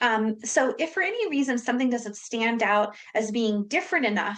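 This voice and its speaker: Her intonation is lively. This woman has a fairly high voice. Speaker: webinar presenter. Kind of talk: lecture. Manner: fast.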